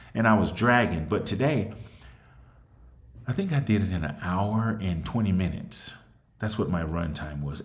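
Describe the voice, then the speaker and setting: At a moderate pace, a man speaks with long, frequent pauses. His voice is fairly low-pitched and somewhat breathy. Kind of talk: casual talk to camera.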